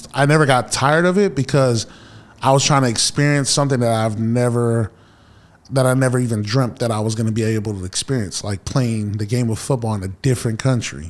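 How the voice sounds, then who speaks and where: With an American accent, a man talks at a fairly quick pace, his pitch medium and its variation ordinary. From Fresno, California (Samoan heritage). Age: 30s. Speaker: former pro football player turned pastor. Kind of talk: casual podcast interview.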